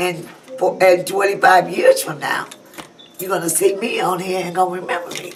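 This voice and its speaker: Noticeable background noise sits behind speech delivered at a medium speed. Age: 60s. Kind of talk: interview answer.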